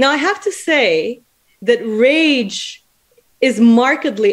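High female voice over a quiet background. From Mozambique. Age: 30s. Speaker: researcher; lecturer, speaker. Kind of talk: prepared academic talk. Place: home room. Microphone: video call.

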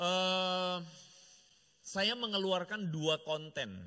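A man's bright, sharp tone over a quiet background. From Indonesia. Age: middle-aged. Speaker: pastor. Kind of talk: sermon. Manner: animated. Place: church. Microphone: handheld.

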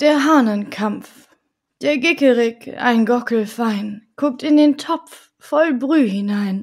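Speaking at a very slow pace, this woman has a high pitch. Her pitch variation is ordinary. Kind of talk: bedtime story reading aloud. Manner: soft, calm, gently paced; playful, rhythmic rhyming delivery.

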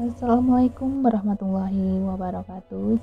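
Faint music plays in the background as a woman talks at a moderate pace in a dry sound with no echo. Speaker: home cook vlogger. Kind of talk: cooking tutorial. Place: kitchen. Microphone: phone near.

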